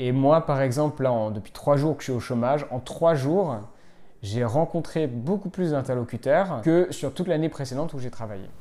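This very clean recording has a silent background and a man at a medium pitch with a dark, mellow tone. He moves at a moderate pace with lively intonation. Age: 20s. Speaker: interviewee at a work-reduction event. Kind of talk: vox pop interview.

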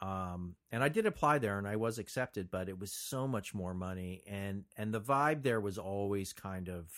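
A man with an American accent speaks in a plain, everyday voice, fairly low in pitch with ordinary pitch variation, at a moderate pace with hardly any pauses, on a very clean recording with a silent background. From New Jersey (Montclair). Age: 50s. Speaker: screenwriter and producer. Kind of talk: casual interview.

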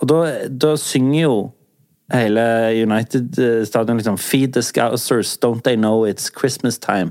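With an ordinary speaking voice, a man talks at a fairly slow pace in a medium pitch, with ordinary pitch variation and very even loudness. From southern Norway. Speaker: podcast host. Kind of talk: casual chat.

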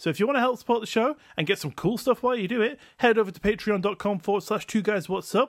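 Against a silent background in a very clean recording, a man with a high pitch talks at a very fast pace in an animated tone. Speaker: podcast host. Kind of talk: casual comedic chat, storytelling. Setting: home recording with old microphone. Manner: animated, jokey.

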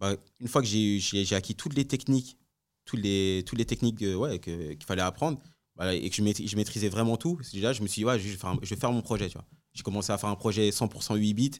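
A plain, everyday voice talks at a moderate pace with ordinary pitch variation. The recording is very clean, with a silent background. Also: man. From France, Congolese heritage. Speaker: music producer. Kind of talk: casual interview.

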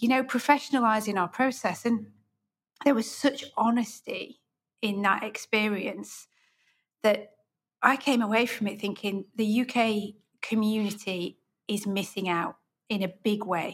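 Speaking in a British accent, a woman with a fairly high pitch and a somewhat breathy voice talks at a fairly slow pace with fairly even intonation and long, frequent pauses. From UK. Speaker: podcast host and interior designer. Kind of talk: interview.

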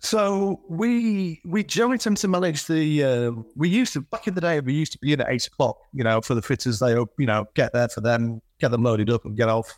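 A man speaks at a fairly high pitch with a Yorkshire accent, his pitch swinging very widely. He talks at a fairly quick pace with hardly any pauses, and the sound is dry and close with no echo. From Yorkshire, northern England (Selby). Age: 50s. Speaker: flooring business owner. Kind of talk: casual interview. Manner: halting, many fillers and repeats.

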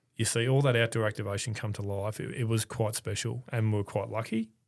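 In an Australian accent, a man talks at a fairly quick pace and medium pitch. The recording is very clean, with a silent background. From Melbourne, Australia. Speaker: events executive. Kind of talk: interview. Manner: measured.

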